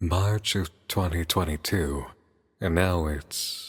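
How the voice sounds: A raspy, put-on character voice from a man, very deep and low, at a very slow pace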